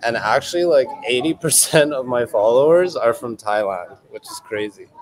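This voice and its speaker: This man speaks with a Canadian accent at a moderate pace, his pitch varying in an ordinary way over noticeable background noise. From western Canada. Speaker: male pageant contestant. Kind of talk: interview. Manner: casual, filler-heavy.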